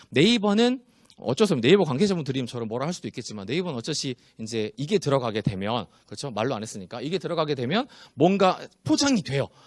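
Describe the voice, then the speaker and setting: Very fast and with very wide pitch swings, a man speaks at a fairly high pitch. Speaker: spinal exercise specialist, seminar presenter. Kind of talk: seminar lecture with Q&A.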